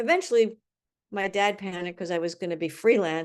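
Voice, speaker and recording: A woman speaks with an American accent at a fairly quick pace. Her pitch varies in an ordinary way over a quiet background. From Washington DC, US. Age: 60s. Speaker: screenwriter and painter. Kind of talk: interview conversation. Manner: halting, many fillers and restarts.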